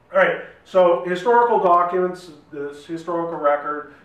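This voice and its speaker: Audible room echo surrounds a man speaking at a high pitch and a moderate pace. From Saskatchewan, Canada. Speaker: academic, digital humanities researcher; presenter. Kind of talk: lecture. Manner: hesitant, many fillers and repeats. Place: meeting room. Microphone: camera far.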